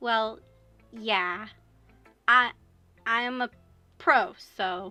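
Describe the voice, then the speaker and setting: A mumbling, female-sounding put-on character voice at a fairly high pitch, with music in the background. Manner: mumbling, unconfident.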